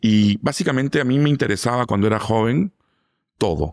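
Dry with no echo and set against a quiet background, the voice moves at a fairly slow pace with lively intonation. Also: man. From Lima, Peru. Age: 40s. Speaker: food critic; interview guest. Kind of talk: interview. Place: studio. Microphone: studio mic.

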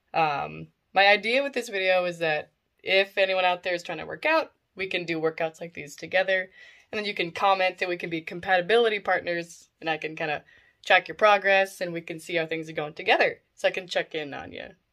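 Over a quiet background, a woman with a bright, sharp tone speaks at a fairly quick pace, with big swings in loudness and ordinary pitch variation. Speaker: vlogger. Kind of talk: casual vlog chat. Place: home room. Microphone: phone near.

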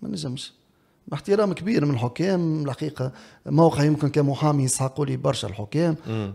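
Against a quiet background, a man's voice comes through with a dark, mellow tone. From Tunisia. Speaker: former football referee turned pundit. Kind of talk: interview. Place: studio. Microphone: studio mic.

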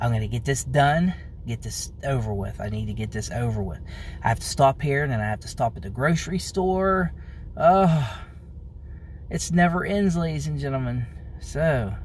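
Light background noise runs under a man's dry, echo-free voice as he takes long, frequent pauses. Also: moderate pace. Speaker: vlogger. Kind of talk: casual vlog chat. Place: car. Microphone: phone near.

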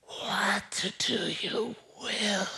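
The speaker uses a put-on character voice. It is delivered in a whisper. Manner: eerie, summoning.

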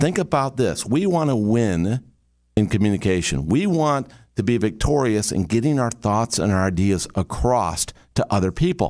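In a quiet setting, a man with a medium pitch talks at a moderate pace in an animated tone, making very wide pitch swings. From Michigan, US Midwest. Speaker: communication trainer, business coach. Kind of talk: motivational talk. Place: studio. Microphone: studio mic.

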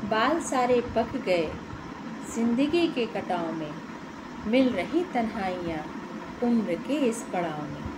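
Noticeable background noise lies under a woman's very slow speech, which has long, frequent pauses. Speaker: poem reciter. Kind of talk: poetry reading. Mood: wistful, melancholic. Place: home room. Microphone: phone near.

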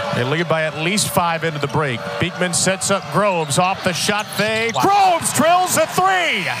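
Loud background noise surrounds a man speaking in an animated, energetic tone with lively intonation. He hardly pauses, and the sound is dry with no echo. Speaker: play-by-play broadcaster. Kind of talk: live sports commentary. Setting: arena broadcast from courtside. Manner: fast, animated play-by-play delivery; energetic, rising on big plays. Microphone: headset.

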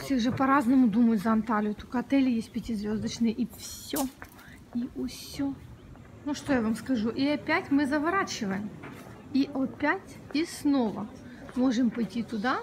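A woman with a high pitch speaks at a fairly slow pace. Her pitch varies in an ordinary way, with light background noise behind her. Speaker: travel vlogger. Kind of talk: casual vlog chat. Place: street. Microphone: phone near.

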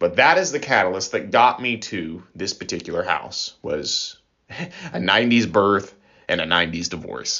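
At a moderate pace, a man talks with a Midwestern accent. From US Midwest, Illinois. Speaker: radio preacher. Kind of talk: sermon. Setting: radio program.

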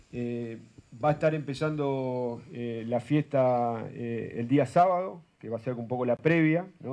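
Against a quiet background, a man's medium-pitched voice has a dark, mellow tone. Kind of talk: news interview. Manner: halting, many fillers.

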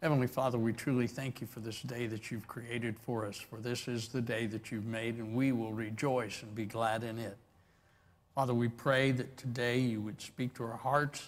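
At a moderate pace, a man talks in a monotone with flat intonation. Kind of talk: opening prayer. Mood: reverent, calm. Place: church.

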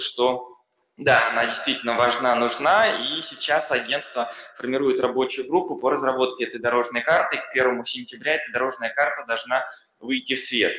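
Audible room echo around a man's voice, medium in pitch and moderate in pace. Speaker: accelerator program expert; panelist, expert council member. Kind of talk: panel talk. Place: hall. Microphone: podium.

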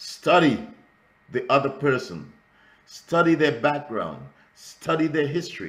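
Talking at a fairly slow pace with long, frequent pauses, a man speaks with a Trinidadian accent. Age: 70s. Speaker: ministry school instructor and pastor; ministry school instructor, pastor. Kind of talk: lecture. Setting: video call. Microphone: video call.

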